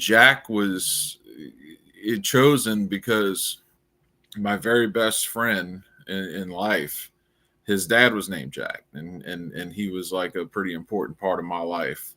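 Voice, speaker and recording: A man's fairly low voice in a New Orleans accent, bright and sharp in tone, at a very slow pace. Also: ordinary pitch variation, big swings in loudness, very clean recording, silent background. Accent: noticeable New Orleans. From US South, New Orleans, Louisiana. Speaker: crypto founder and writer. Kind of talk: casual interview. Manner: halting, many repeats and fillers.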